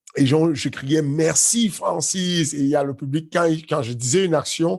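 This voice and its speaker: A man talks at a fairly slow pace. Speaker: MMA coach. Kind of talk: casual chat. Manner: loud; halting, many fillers.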